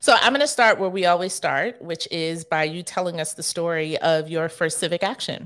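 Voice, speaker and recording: A woman speaks in an ordinary speaking voice, fairly low in pitch, at a moderate pace with ordinary pitch variation and hardly any pauses. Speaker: radio host and political strategist. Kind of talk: radio interview.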